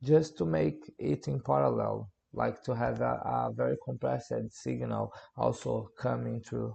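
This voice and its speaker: Moving at a fairly slow pace, a man talks with a Portuguese accent. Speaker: music producer. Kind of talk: tutorial. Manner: halting.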